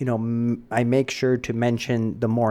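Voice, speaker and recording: This man's voice sits at a medium pitch with a dark, mellow tone. He speaks at a moderate pace. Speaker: biology professor. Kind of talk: exam review lecture.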